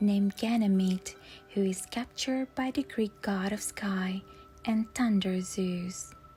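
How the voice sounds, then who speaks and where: Over music in the background, a woman speaks at medium pitch with fairly even intonation. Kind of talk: sleep story.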